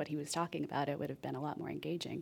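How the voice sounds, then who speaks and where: A woman with an American accent on a very clean recording against a silent background. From Texas. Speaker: author and music programmer. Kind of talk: radio interview. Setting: live radio show with audience.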